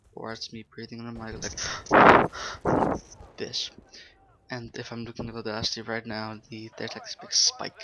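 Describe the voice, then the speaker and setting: The speaker keeps a moderate pace with long, frequent pauses as noticeable background noise runs underneath. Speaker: gaming YouTuber. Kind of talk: gameplay commentary. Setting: bedroom at home.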